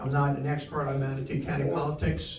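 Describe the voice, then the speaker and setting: A man at a medium pitch and fairly quick pace, with audible room echo and noticeable background noise. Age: 70s. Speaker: political candidate. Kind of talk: campaign speech. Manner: halting, repeats words.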